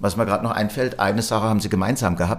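Vocal fry runs through the man's voice, which has ordinary pitch variation. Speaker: company managing director. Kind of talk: interview.

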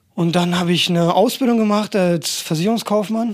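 A man's moderate-paced speech, with ordinary pitch variation, comes through noticeable background noise. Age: 20s. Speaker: personal trainer and athletic coach. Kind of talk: casual chat. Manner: animated.

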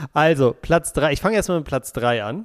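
With lively intonation, a man speaks at a moderate pace in a normal speaking voice on a very clean recording with a silent background. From Berlin, Germany. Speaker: football podcast co-host. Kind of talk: casual chat.

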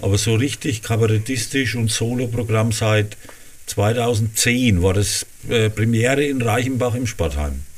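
A man speaks in a Franconian accent at a medium pitch. His voice is somewhat breathy, with ordinary pitch variation. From Lower Franconia, Rhön-Grabfeld. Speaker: cabaret artist and dialect author. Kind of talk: casual interview.

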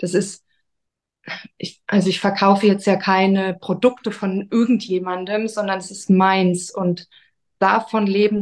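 Over a quiet background, a woman of medium pitch speaks at a very slow pace with monotone, flat intonation. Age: 30s. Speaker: author and podcaster. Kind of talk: interview.

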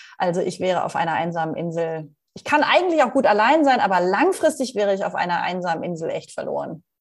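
Speaking at a very fast pace with hardly any pauses, a woman at a medium pitch moves through very wide pitch swings. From Rhineland, Germany (Leverkusen). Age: 40s. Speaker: leadership coach and keynote speaker. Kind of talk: interview.

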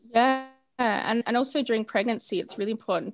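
A woman with an Australian accent at a fairly quick pace, with ordinary pitch variation. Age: 30s. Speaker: doula and postpartum food business founder. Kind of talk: interview chat.

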